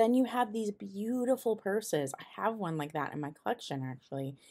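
The background stays quiet. A woman does the talking. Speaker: vintage collector vlogger. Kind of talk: casual vlog chat. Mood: enthusiastic, admiring. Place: shop. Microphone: phone near.

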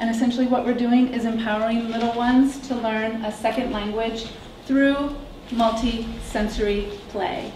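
A woman speaks in a fairly high, monotone, flat voice with an American accent. Light background noise and audible room echo accompany her. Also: moderate pace. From US Midwest. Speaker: startup founder; presenter. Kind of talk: startup pitch and Q&A. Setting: stage with audience. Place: classroom.

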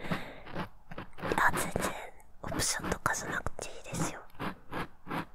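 Whispering and soft-spoken, the voice keeps a relaxed, gentle tone. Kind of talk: soft ASMR roleplay talk. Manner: soft close whisper, relaxed and gentle.

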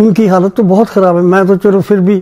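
This is a man speaking at a high pitch. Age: 80s+. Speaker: retired bank officer. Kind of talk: interview answer. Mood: aggrieved, reflective. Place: home room.

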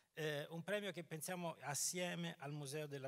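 A man talks at a medium speed, his pitch rising and falling in a normal way, with little sound in the background. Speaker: dramaturg. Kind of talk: press conference presentation. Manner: hesitant, repeating words. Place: stage. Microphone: handheld.

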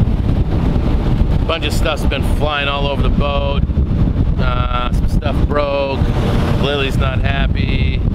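Loud background noise over a dry sound with no echo. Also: man. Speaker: sailing vlogger. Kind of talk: casual vlog chat. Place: boat. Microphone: phone near.

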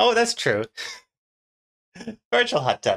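There is lively intonation in this man's voice. Behind him, the background is quiet. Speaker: streamer. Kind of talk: casual stream chat. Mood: amused, laughing. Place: home room.

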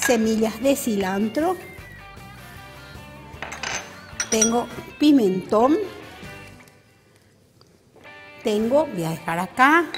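Faint music plays in the background as a woman talks at a very slow pace with long, frequent pauses. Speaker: TV cooking show host. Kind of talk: tutorial. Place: studio. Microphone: lapel.

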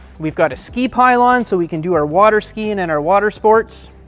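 Faint music plays behind a man speaking at a high pitch. He talks fairly quickly with ordinary pitch variation. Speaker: boat sales specialist. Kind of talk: product walkthrough presentation. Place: shop.

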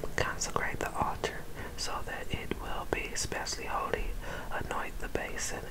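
A whisper in a soothing tone at a fairly slow pace. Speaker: ASMR scripture reader. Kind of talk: ASMR whisper scripture reading. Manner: whispered, soothing.

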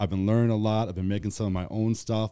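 A man speaks with a dark, mellow tone and a fairly low pitch. The background is quiet. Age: 30s. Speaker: clothing creator and leatherworker; clothing creator. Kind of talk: casual chat. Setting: studio. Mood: relaxed, friendly. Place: studio. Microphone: studio mic.

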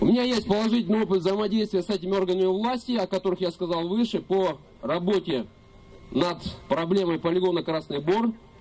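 The loudness stays very even at a fairly quick pace. Pitch varies in an ordinary way. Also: man, high pitch for a man. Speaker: environmental activist; speaker. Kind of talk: rally speech. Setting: outdoors. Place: open country. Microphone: camera far.

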